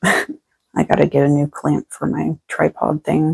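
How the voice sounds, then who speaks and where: A woman speaks softly. The sound is dry and close, with no echo. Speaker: tarot reader. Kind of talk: collective spiritual reading. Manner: quiet, soft-spoken.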